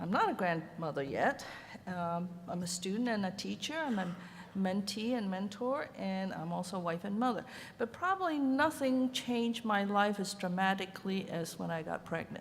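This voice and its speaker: A somewhat breathy woman with a Chinese accent at a medium pitch, moderate pace and lively intonation, amid audible room echo. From Hong Kong. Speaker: ceramic artist. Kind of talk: conference panel talk. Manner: hesitant, with many fillers.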